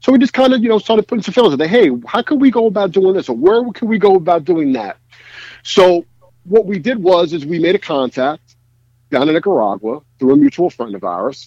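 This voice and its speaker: A man talks at a fairly quick pace in a high, dark, mellow voice with very wide pitch swings. The sound is dry and close, with no echo. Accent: New York. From New York City, Brooklyn (Bensonhurst). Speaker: cigar brand co-founder. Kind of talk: casual interview chat.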